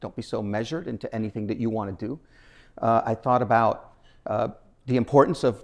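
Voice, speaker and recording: The man speaks at a medium pitch and a fairly quick pace, with ordinary pitch variation. The recording is very clean, with a silent background. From Nicaragua, raised in Washington DC and rural Illinois. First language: Spanish. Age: 60s. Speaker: nonprofit foundation president, keynote speaker. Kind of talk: keynote speech. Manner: talkative, with many fillers and restarts.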